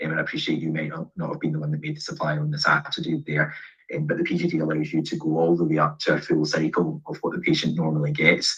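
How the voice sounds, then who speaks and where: Speaking very fast, a man talks with a Scottish accent. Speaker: pharmacist, event host. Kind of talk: Q&A webinar answers. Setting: video call.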